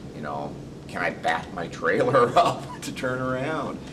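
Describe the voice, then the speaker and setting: A man is speaking. Background noise is noticeable. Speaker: trail riding website founder. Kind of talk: interview answer.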